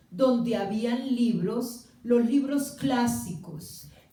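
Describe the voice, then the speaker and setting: Lively intonation carries a very slow delivery, with noticeable background noise and audible room echo. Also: woman. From Colombia, Cali. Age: 60s. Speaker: writer's sister speaking about his reading. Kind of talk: public talk with audience. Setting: small theatre with live audience. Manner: hesitant, many fillers.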